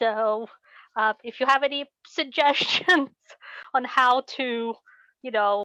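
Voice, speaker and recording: A woman speaks at a fairly high pitch with a non-native accent. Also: dry, close sound with no echo. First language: not English. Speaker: class participant. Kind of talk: online class discussion. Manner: halting.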